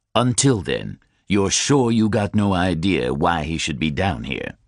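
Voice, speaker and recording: A man speaks in a put-on character voice with a very deep, low pitch and very wide pitch swings. His pace is moderate against a quiet background. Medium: read story. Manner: measured, courteous.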